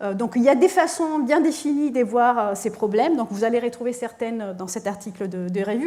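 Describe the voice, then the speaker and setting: A fairly high-pitched woman with a non-native accent, at a moderate pace with ordinary pitch variation, amid audible room echo. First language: not French (speaking French). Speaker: physics professor. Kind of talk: lecture. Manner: halting, many hesitations.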